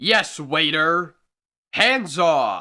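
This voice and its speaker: In a put-on character voice, a man speaks high and shrill on a very clean recording with a silent background. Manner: sharp, indignant.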